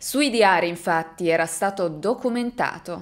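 With lively intonation, a woman speaks at a fairly slow pace and a fairly low pitch. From Italy. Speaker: true crime youtuber. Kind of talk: true-crime narration to camera. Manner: suspenseful, engaged storytelling, dramatic. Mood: serious, suspenseful. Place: home room.

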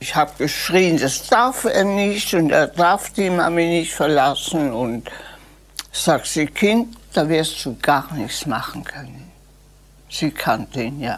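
A woman's very slow, very deep, low voice with very wide pitch swings. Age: 80s+. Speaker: historical eyewitness. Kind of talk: interview answer. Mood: reflective, emotional recollection.

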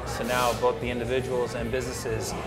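A man talks while loud music plays in the background. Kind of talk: interview answer. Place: cafe.

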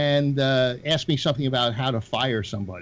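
This is an ordinary speaking voice with lively intonation. It moves at a moderate pace over light background noise. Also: man. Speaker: former police officer. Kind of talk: casual panel discussion. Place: home room. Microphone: video call.

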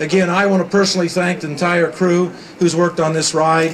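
With a high pitch and monotone, flat intonation, a man talks at a very fast pace over noticeable background noise. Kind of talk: ceremonial speech. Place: stage.

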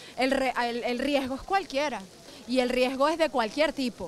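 A woman speaks at a moderate pace in a high voice, with noticeable background noise. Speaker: opposition politician. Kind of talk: press statement to reporters.

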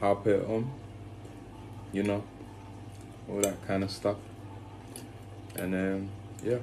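A man speaks in a flat monotone at a fairly low pitch and a moderate pace. Noticeable background noise can be heard. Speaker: lifestyle vlogger. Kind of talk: casual vlog chat. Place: home room. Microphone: phone near.

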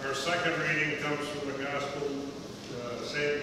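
Amid noticeable background noise and strong room echo, a man speaks in a monotone, flat intonation. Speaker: scripture reader at lectern. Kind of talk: scripture reading. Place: church.

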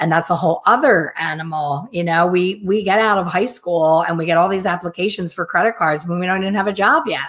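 A woman with an unremarkable speaking voice talks at a fairly quick pace and a fairly low pitch, with ordinary pitch variation. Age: 50s. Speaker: hair colorist and educator; educator. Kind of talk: casual chat. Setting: live video stream. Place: home room. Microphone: webcam.

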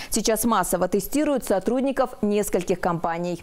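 With lively intonation, a woman talks at a moderate pace in a normal speaking voice. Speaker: news reporter. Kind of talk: news reading. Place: studio. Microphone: lapel.

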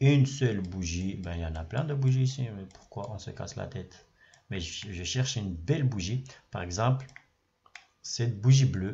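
A man with a somewhat breathy, medium-pitched voice speaks at a moderate pace, with long, frequent pauses and big swings in loudness. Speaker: trading educator YouTuber. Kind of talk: screen-share tutorial. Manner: repetitive, filler words, casual.

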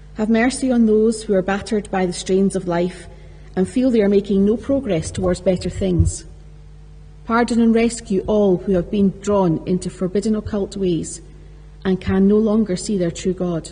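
Music plays in the background as a woman speaks at a moderate pace, her medium pitch held in fairly even intonation. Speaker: lector reading scripture. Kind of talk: reading aloud scripture. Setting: church. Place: church. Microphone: podium.

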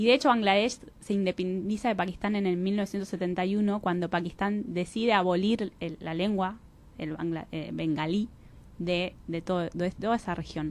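Her pitch varies in an ordinary way as the woman speaks at a moderate pace. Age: 30s. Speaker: social enterprise organization representative; interview guest. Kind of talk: radio interview. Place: studio.

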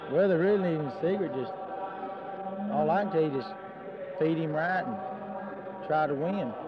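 A man speaks at a fairly quick pace. The sound is dry with no echo, but loud background noise is present. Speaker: young livestock show exhibitor. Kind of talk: interview answer. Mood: shy, modest. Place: hall. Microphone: handheld.

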